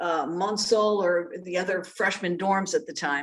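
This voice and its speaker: A woman's medium-pitched voice with an American accent at a moderate pace, an ordinary speaking voice. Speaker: journalist and former news anchor. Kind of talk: interview. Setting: video call.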